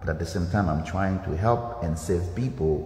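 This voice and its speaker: A man with a Haitian accent, very deep and low in pitch, lively intonation, audible room echo. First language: Haitian Creole. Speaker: dance instructor. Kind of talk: motivational livestream talk. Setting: livestream from dance studio.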